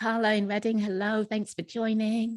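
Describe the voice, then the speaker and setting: The speaker has an English accent and a fairly slow pace. The sound is dry and close, with no echo. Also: woman. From England. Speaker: network leader and moderator. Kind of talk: panel interview. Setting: video call.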